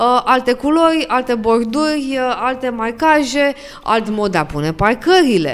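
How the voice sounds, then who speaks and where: A woman's high-pitched voice with very wide pitch swings at a fairly slow pace, over noticeable background noise. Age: 20s. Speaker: podcast host, lawyer. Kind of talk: podcast interview.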